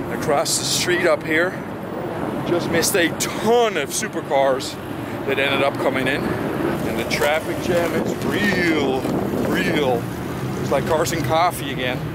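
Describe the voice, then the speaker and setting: Loud background noise sits behind a dry recording with no echo. A man speaks at a fairly slow pace with ordinary pitch variation. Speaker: car show vlogger. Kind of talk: casual vlog chat. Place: street. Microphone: phone near.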